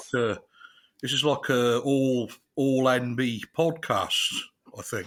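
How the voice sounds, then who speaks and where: A man with a West Country accent, medium pitch and fairly even intonation, at a very slow pace. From southwest England, Chippenham. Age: 40s. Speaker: comedian. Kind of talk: casual interview chat.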